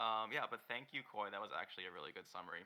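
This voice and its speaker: A man's voice with vocal fry. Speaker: dungeon master for a tabletop game. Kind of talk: tabletop role-play game narration. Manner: quiet, no shouting.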